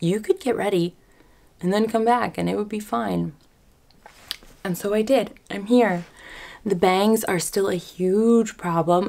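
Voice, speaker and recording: A soft-spoken woman talks at a moderate pace. Her pitch varies in an ordinary way. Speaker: lifestyle vlogger. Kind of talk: casual vlog talk. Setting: apartment, in front of camera. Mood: candid, a bit overwhelmed. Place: home room. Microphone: camera far.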